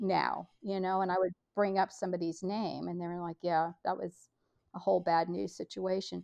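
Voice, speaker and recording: A woman's plain, everyday voice at medium pitch and a moderate pace. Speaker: podcast network leader and homeschool mom. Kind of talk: casual interview chat.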